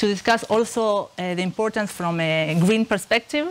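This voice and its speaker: A woman speaks at a medium pitch with an Argentine accent. Her pitch varies in an ordinary way. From Argentina, Buenos Aires. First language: Spanish. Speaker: researcher. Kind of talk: lecture. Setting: stage with audience. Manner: halting, many fillers. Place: classroom.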